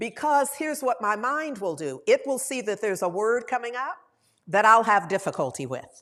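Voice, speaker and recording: A woman talks at a fairly high pitch with very wide pitch swings. Vocal fry creeps into her voice. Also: moderate pace. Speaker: minister. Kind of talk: sermon. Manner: conversational.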